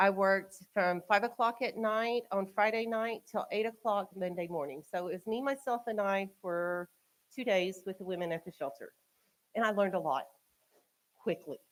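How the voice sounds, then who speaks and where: Speaking at a moderate pace, a woman has a medium pitch and ordinary pitch variation. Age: 40s. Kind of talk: public talk to community audience. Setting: community event with live audience, eating. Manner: loud.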